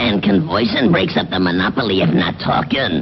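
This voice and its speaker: A man performs a cartoonish character voice at a fairly low pitch and moderate pace, with clear background noise. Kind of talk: comic mock-posh.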